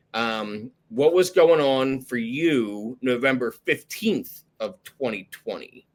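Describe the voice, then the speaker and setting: A man with a Philadelphia accent, medium in pitch, at a very slow pace with hardly any pauses and lively intonation. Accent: Philadelphia-area. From South Jersey, near Philadelphia. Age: 30s. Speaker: podcast host in recovery. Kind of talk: casual interview chat. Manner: casual, filler-heavy.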